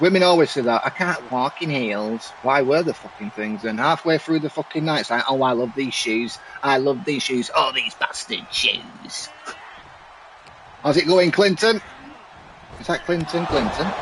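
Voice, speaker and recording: With a Mancunian accent, a man speaks at a moderate pace and fairly high pitch with lively intonation over noticeable background noise. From Manchester, northern England. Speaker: gaming streamer and commentator. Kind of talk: live game commentary with casual chat. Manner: animated.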